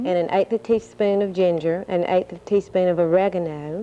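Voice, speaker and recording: The voice has a dark, mellow tone, fairly even intonation and a moderate pace. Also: woman. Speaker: recipe contest judge, gas company representative. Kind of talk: cooking demonstration on TV.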